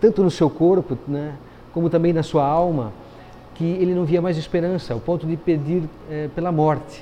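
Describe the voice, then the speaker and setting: A man's voice with music in the background. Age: 50s. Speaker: pastor. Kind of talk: sermon. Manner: hesitant fillers.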